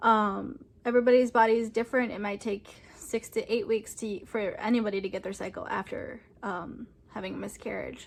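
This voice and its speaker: A woman talks at a fairly quick pace in a fairly high voice. Her intonation stays fairly even. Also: big swings in loudness. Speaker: vlogger. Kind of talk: personal testimony vlog. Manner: hesitant, many fillers.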